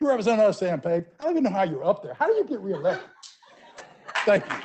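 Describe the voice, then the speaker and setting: A man with an American accent speaks at a very fast pace. His voice is high-pitched, with very wide pitch swings. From US South. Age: 60s. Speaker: business owner, public commenter. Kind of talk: public comment at council meeting. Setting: council meeting. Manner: halting, repeating words.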